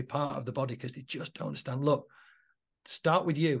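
Somewhat breathy, a man speaks with a Mancunian accent and fairly even intonation. The background is quiet. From Manchester, England (Moss Side). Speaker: entrepreneur and coach. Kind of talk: podcast interview.

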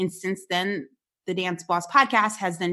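A woman's fairly low, bright, sharp voice in an American accent, fairly slow, with ordinary pitch variation against a quiet background. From New Jersey, Paterson. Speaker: dance educator and entrepreneur, podcast host. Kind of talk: interview.

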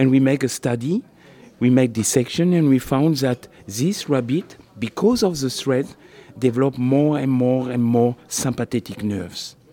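A man with a non-native accent speaks at a moderate pace in a medium-pitched voice with ordinary pitch variation. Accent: foreign-accented English. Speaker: surgeon and researcher. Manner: halting.

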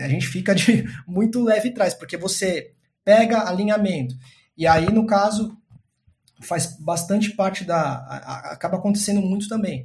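Speaking at a high pitch, a man keeps a moderate pace and ordinary pitch variation. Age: 30s. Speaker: data science team lead. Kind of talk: interview. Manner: halting.

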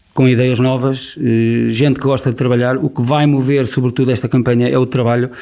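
Medium-pitched male speech at a fairly quick pace, monotone and flat, with very even loudness and noticeable background noise. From Portugal, Viseu district. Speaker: local election candidate. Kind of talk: radio election debate. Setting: radio studio.

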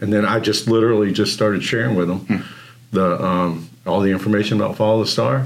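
Here a man speaks in a normal speaking voice. His pitch is fairly low, with ordinary pitch variation. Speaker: church elder. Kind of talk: casual chat.

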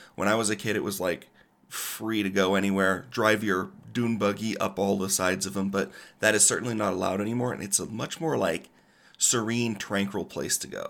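A man with an American accent and a normal speaking voice talks at a fairly quick pace with fairly even intonation in a very clean recording with a silent background. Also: fairly low pitch for a man. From Colorado. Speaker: podcast co-host. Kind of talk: semi-scripted travel podcast.

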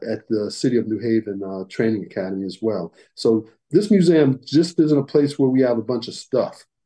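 An American accent marks this man's fairly quick speech, with a medium pitch, a dark, mellow tone and lively intonation. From Connecticut, US. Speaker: museum director, retired police officer. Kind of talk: radio interview.

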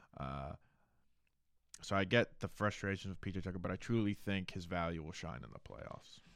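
Vocal fry and big swings in loudness, with an American accent. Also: man, very deep, low pitch for a man, ordinary pitch variation, moderate pace. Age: 20s. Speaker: sports podcast co-host. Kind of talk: casual sports chat.

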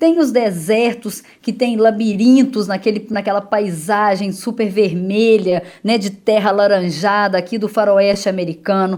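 Speaking at a fairly slow pace with hardly any pauses, a woman in a Minas Gerais accent uses ordinary pitch variation. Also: medium pitch for a woman. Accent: Minas Gerais (mineiro) accent, still present. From Minas Gerais, Brazil (Itaúna). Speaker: travel journalist. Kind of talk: radio interview.

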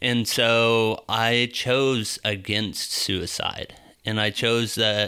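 A man speaks at a very slow pace in a bright, sharp tone with monotone, flat intonation. The recording is very clean, with a silent background. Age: 20s. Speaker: electrician sharing faith testimony. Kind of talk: testimony.

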